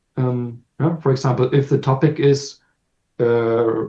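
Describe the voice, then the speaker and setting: This man talks at a very slow pace. His voice has a dark, mellow tone and is somewhat breathy. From Germany. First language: German. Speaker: language teacher. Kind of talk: casual chat. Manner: halting.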